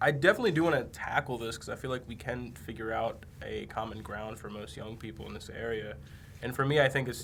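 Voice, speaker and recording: Over audible room echo, a man at a medium pitch speaks at a fairly quick pace with lively intonation. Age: 20s. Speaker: camera crew member filling in as podcast host. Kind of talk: casual chat.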